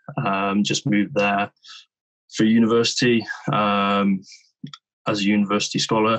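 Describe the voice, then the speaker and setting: Speech in a West Country accent comes with long, frequent pauses and very even loudness. The intonation is fairly even, and the background is quiet. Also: man. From England, Bristol; England. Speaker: rugby player; interviewee. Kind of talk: interview. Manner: halting, many repetitions. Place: home room. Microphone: video call.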